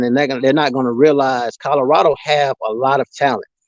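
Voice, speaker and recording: A man with a Mississippi accent talks at a fairly quick pace with fairly even intonation. The sound is dry and close, with no echo. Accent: US Southern, Mississippi. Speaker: sports livestreamer. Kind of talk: casual live stream chat. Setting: live stream reading chat comments.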